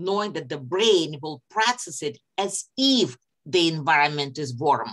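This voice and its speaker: A woman with a non-native accent, very deep and low in pitch, with very wide pitch swings at a fairly slow pace. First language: not English. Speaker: psychology lecturer. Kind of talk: online lecture.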